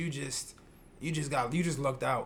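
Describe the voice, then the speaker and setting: The voice is a man's, pitched fairly high. Room echo is audible. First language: not English. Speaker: podcast co-host. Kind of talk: casual chat.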